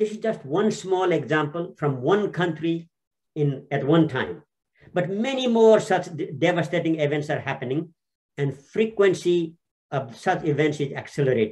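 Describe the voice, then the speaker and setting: Lively intonation at a moderate pace. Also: man, high pitch for a man. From Nepal. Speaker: former UN official. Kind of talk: panel discussion. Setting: video call webinar.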